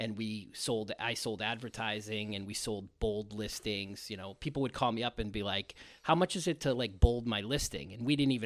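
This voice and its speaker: In a very clean recording with a silent background, a man speaks at a fairly quick pace. He has a Boston accent and ordinary pitch variation. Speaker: marketing executive. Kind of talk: casual interview.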